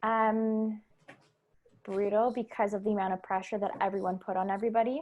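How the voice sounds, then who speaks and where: A woman talks at a fairly quick pace. Her intonation stays monotone and flat. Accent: Canadian. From Canada. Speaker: elementary school teacher. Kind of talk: casual podcast conversation.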